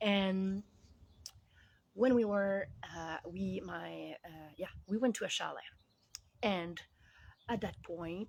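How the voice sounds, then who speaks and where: Speaking very slowly in a Quebec accent, a woman with a medium pitch keeps a fairly even intonation, with big swings in loudness and long, frequent pauses. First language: French. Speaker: life coach. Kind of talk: casual vlog monologue. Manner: halting, many fillers.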